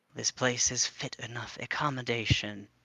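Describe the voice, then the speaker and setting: A growling, put-on character voice. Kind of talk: formal, haughty. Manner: snarling, disdainful.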